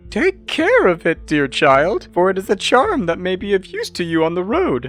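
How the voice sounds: A man does a put-on character voice, high-pitched and with very wide pitch swings. He goes at a moderate pace over faint music in the background. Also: fairly bright tone.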